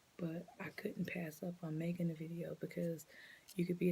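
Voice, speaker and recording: Soft-spoken and somewhat breathy, a woman talks in a dark, mellow tone with monotone, flat intonation. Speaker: preschool teacher. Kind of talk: tutorial. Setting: at home late at night.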